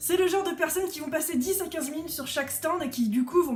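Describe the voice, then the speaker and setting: A woman talks at a very fast pace in an animated tone. Her pitch varies in an ordinary way. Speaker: craft artist and YouTuber. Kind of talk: rant vlog.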